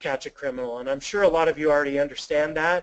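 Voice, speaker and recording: This man's voice sits at a fairly high pitch with fairly even intonation. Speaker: webinar presenter for a background screening company. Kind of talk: webinar presentation. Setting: online webinar, no live interaction. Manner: fast; casual with frequent fillers.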